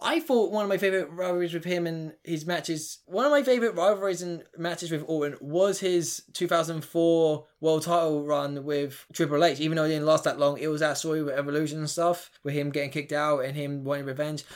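The recording is very clean, with a silent background. A man talks at a fairly quick pace with hardly any pauses. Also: fairly even intonation. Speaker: wrestling fan guest. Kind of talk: casual chat about wrestling, then a mock ring announcer impression.

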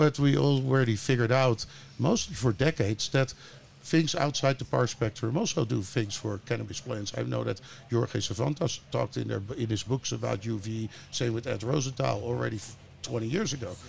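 A man speaks with a Dutch accent at a moderate pace. Vocal fry runs through his voice. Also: medium pitch for a man, ordinary pitch variation. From Netherlands. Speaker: grow lighting entrepreneur. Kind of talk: interview. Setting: studio.

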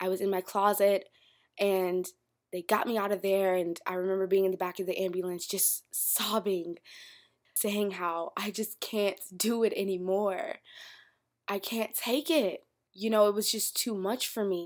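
Recorded very cleanly over a silent background, a woman speaks at medium pitch in an American accent. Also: moderate pace. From Florida, US South. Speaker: podcast host. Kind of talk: casual solo podcast monologue. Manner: animated, conversational.

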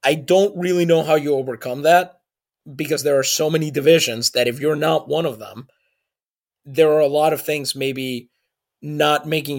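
This man has a slight Puerto Rican accent, a fairly high pitch with ordinary pitch variation, and a moderate pace. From Puerto Rico, San Juan. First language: Spanish. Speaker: podcast co-host. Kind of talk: casual chat.

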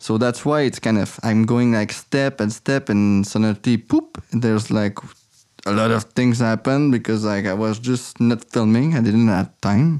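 A man with a French Canadian accent, very even in loudness and fairly even in intonation. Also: medium pitch for a man, moderate pace. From Quebec City, Canada. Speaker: filmmaker living off the grid. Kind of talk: interview. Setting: remote call. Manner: halting.

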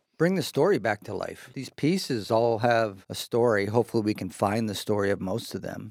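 A man with an American accent speaks at a fairly quick pace with hardly any pauses, in a normal speaking voice at medium pitch. The recording is very clean, with a silent background. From US Pacific Northwest, Seattle. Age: 50s. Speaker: house renovator. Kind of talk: casual interview.

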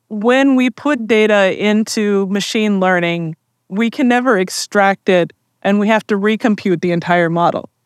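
A woman's unremarkable speaking voice at medium pitch and moderate pace, with ordinary pitch variation and very even loudness, in a very clean recording over a silent background. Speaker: tech industry expert. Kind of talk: event interview. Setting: live conference event.

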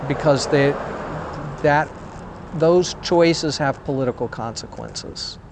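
A man with an American accent speaks at a very slow pace and a fairly high pitch, with long, frequent pauses and noticeable background noise. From US South. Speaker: sociology professor. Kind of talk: interview. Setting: outdoors, walking city streets.

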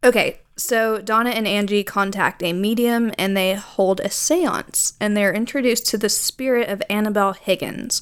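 A normal speaking voice from a woman, fairly high in pitch with ordinary variation, at a moderate pace with hardly any pauses. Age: 20s. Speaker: podcast co-host. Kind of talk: storytelling; casual chat.

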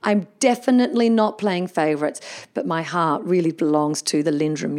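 Speaking fairly quickly with lively intonation, a woman has an unremarkable speaking voice pitched fairly low. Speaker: podcast host. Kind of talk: casual interview chat.

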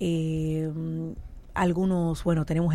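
The voice has a dark, mellow tone in a very clean recording with a silent background. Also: woman. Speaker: politician. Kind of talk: interview.

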